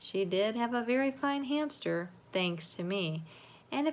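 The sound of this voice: The reading voice sounds unforced. Its intonation is lively.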